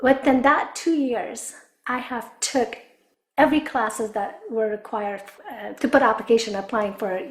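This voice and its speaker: Speaking with an Afghan accent, a woman's voice shows big swings in loudness. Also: fairly high pitch for a woman, ordinary pitch variation, moderate pace. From Afghanistan. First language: Dari. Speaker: business development director. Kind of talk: interview testimony.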